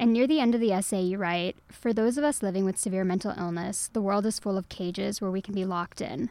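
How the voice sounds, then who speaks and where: A woman with an American accent talks at a very fast pace, with hardly any pauses, a medium pitch and ordinary pitch variation. Her tone is dark and mellow, and the recording is very clean with a silent background. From Texas. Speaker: books editor. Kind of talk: interview. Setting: studio.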